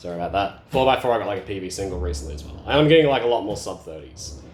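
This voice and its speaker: With an Australian accent, a man speaks in a space with audible room echo. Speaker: speedcubing youtuber. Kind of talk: casual vlog update. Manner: casual, many fillers.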